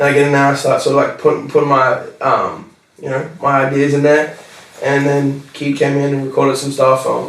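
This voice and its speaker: Speaking at a fairly quick pace, a man with an Australian accent is heard amid noticeable background noise and audible room echo. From Australia, Newcastle NSW. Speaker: rapper. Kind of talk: casual interview chat. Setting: podcast recording. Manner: animated, many fillers. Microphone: poor audio quality.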